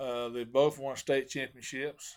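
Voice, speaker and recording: This man has a Southern US accent and a medium pitch, with fairly even intonation. He talks at a fairly slow pace in a very clean recording with a silent background. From Arkansas (Hot Springs). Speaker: professional bass angler. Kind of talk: casual interview.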